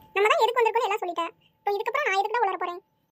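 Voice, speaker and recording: A woman puts on a squeaky, cartoonish character voice at a very fast pace. The sound is dry and close, with no echo. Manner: casual, matey.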